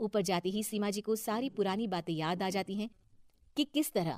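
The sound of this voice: The sound of this woman's voice is dry and close with no echo. She speaks at a moderate pace and a medium pitch, with a slightly mellow tone.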